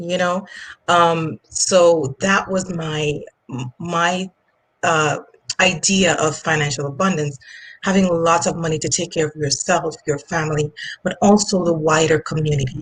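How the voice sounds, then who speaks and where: With a Jamaican accent, the speaker talks at a fairly slow pace, somewhat breathy and with fairly even intonation. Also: woman, fairly low pitch for a woman. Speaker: finance coach. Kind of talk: interview. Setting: online live stream. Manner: hesitant, many fillers.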